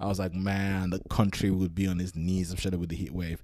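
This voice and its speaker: The voice has a dark, mellow, relaxed tone. It moves at a fairly quick pace with monotone, flat intonation. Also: man. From Nigeria, then UK from teens. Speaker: solo podcaster. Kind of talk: casual monologue. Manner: relaxed, with frequent fillers and repetitions.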